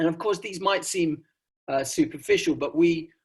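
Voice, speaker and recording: Over a quiet background, a man with an English accent speaks at a moderate pace. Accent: received pronunciation. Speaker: sociologist presenting research. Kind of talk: academic conference talk. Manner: frequent fillers and hesitations.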